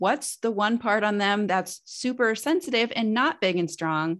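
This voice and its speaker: Lively intonation colors a woman's plain, everyday voice at a medium pitch. The background is quiet. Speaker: nutritionist and women's fertility expert. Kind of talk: casual interview.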